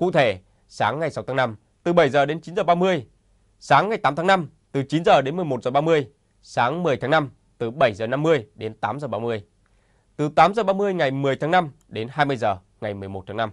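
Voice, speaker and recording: A man with a plain, everyday voice talks at a fairly slow pace, fairly high in pitch with lively intonation. The background is quiet. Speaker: news anchor. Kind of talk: news reading. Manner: formal.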